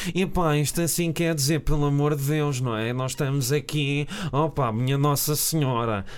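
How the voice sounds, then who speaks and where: With a European Portuguese accent, a man with a fairly high voice speaks at a moderate pace with ordinary pitch variation. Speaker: film podcast co-host. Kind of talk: casual chat.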